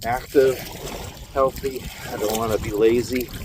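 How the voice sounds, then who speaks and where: Noticeable background noise runs beneath this man's voice. He has an American accent. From Minnesota, Minneapolis. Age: 50s. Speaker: vlogger, truck driver. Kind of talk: casual vlog monologue. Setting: outdoors, in a canoe on a lake.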